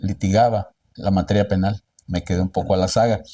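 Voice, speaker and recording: A man's dark, mellow tone comes through at a fairly slow pace, the sound dry and close with no echo on a very clean recording with a silent background. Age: 60s. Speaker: lawyer. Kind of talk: interview.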